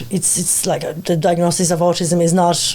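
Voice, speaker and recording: A woman with a non-native accent talks at a fairly quick pace. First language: not English. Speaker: behavioural psychologist, clinic founder. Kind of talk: radio interview. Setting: radio studio.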